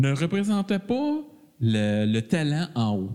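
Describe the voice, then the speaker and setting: At a very slow pace, a man speaks in a dark, mellow tone with very wide pitch swings. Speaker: podcast co-host. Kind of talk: casual chat.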